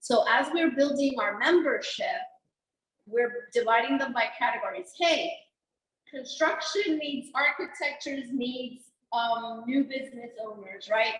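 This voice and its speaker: A woman speaks at a fairly slow pace and a loud volume, her pitch high with ordinary variation. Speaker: venue owner, chamber member. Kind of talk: roundtable discussion.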